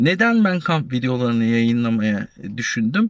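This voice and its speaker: Very wide pitch swings run through moderate-paced speech, captured dry and close with no echo on a very clean recording with a silent background. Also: man. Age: 40s. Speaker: YouTuber, retiree, warehouse supervisor. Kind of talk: casual vlog talk. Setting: outdoors at a university campus. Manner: halting, many fillers.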